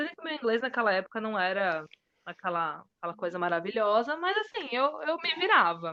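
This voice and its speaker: With a normal speaking voice, a woman talks at a moderate pace and a fairly high pitch. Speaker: bilingual teacher. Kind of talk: casual interview chat.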